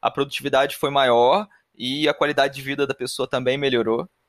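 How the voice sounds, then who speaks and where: An ordinary speaking voice from a man with a fairly high pitch comes at a moderate pace, in a very clean recording with a silent background and a dry, close sound with no echo. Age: 30s. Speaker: podcast host, production engineer. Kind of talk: casual chat.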